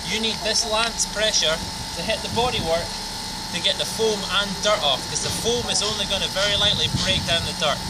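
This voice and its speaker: A man talks at a fairly quick pace. Loud noise fills the background. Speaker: car detailer. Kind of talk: casual how-to demonstration. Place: street.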